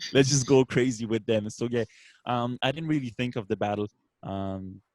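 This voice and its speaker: In a slight French accent, a man of medium pitch speaks at a moderate pace with ordinary pitch variation, the sound dry and close with no echo in a very clean recording with a silent background. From France, Brittany. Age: 30s. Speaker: beatboxer. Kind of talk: casual interview.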